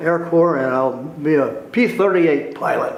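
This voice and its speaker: Audible room echo and noticeable background noise around a man with an American accent, at a moderate pace. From California Central Valley (Tulare). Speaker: war veteran. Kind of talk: oral history interview.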